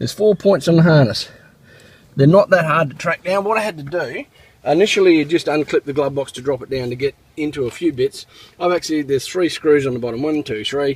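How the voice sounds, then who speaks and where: Somewhat breathy and fairly high-pitched, a man with an Australian accent talks at a fairly quick pace with ordinary pitch variation. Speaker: car repair video maker. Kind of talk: tutorial. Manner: casual, with many fillers.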